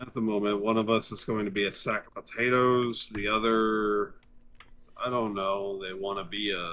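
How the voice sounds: The tone is fairly bright and the pace moderate. The pitch barely moves. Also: man, fairly low pitch for a man.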